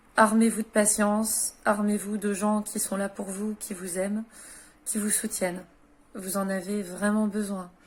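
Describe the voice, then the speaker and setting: A woman's somewhat breathy voice at medium pitch, flat and monotone, at a fairly slow pace, on a very clean recording with a silent background. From France. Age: 30s. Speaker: widow and former caregiver. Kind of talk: personal advice talk to camera. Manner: hesitant, many filler sounds.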